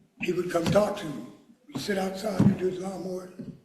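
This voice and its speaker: In an American accent, a man speaks with a high pitch at a fairly quick pace. Room echo is audible around his voice. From Philadelphia, US. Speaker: mourner giving a eulogy. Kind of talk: eulogy. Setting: church memorial service. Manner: fast; halting.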